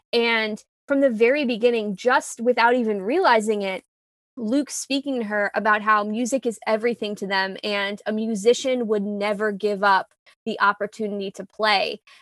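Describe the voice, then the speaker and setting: A woman with an American accent has an ordinary speaking voice, fairly high in pitch, with fairly even intonation. She speaks at a moderate pace in a dry, close sound with no echo. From US, New York City. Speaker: podcast host. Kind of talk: casual chat.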